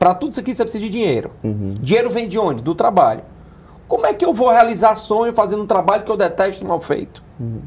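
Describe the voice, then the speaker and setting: Talking very fast with lively intonation, a high-pitched man is heard against noticeable background noise. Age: 40s. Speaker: business accelerator founder. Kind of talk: interview. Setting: studio.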